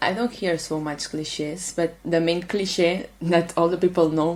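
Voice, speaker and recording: A woman at a medium pitch and moderate pace, with a Catalan accent. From Catalonia, Spain (Manresa). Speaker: international volunteer. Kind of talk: interview. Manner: halting.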